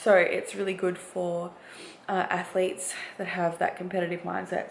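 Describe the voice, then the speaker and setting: A woman with an Australian accent at medium pitch and moderate pace, amid noticeable background noise and audible room echo. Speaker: bikini bodybuilding competitor. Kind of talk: vlog. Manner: casual, hesitant fillers.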